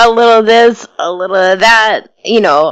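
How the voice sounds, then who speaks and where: A woman with an American accent. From New York. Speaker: internet radio DJ. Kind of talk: interview.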